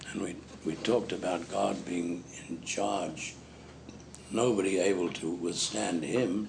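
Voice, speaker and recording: Very deep and low, a man's voice carries lively intonation at a fairly slow pace, with long, frequent pauses, audible room echo and noticeable background noise. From Zimbabwe. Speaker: preacher. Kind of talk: sermon.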